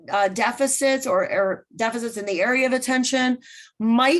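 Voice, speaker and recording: A woman's loud, high-pitched voice. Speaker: special education teacher presenting webinar. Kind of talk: webinar presentation. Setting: online webinar.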